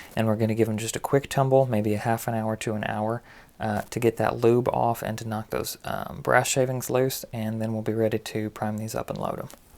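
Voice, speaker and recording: Heard on a very clean recording with a silent background, a man delivers flat, monotone speech at a medium pitch and a fairly quick pace with hardly any pauses. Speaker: reloading hobbyist video host. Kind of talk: tutorial. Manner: casual with frequent fillers.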